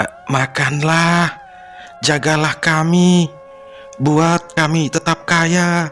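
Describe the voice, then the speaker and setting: A man puts on a character voice, whispering in a raspy, hoarse way at a very slow pace. He leaves long, frequent pauses over clear background noise. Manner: whispering, hoarse.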